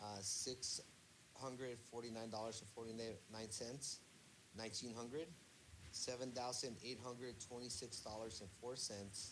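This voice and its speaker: Audible room echo surrounds a man speaking at a moderate pace, his medium pitch held in fairly even intonation. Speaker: student. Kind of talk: reading numbers in class. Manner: stutter; halting.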